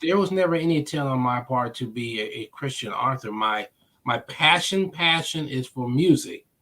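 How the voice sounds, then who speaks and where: A fairly high-pitched man's voice in an American accent, bright and sharp in tone, at a moderate pace. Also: lively intonation. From US Midwest, Omaha, Nebraska. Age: 60s. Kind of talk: interview.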